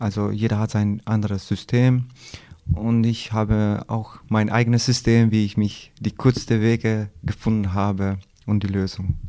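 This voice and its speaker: A man's fairly low pitch, dark and mellow in tone, at a fairly slow pace with monotone, flat intonation. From Kosovo. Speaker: concrete plant foreman. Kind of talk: interview. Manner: halting.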